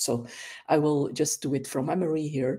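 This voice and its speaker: A woman speaks with a Dutch accent in a very deep, low pitch. Her tone is dark and mellow. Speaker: volunteer wiki editor. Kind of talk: tutorial.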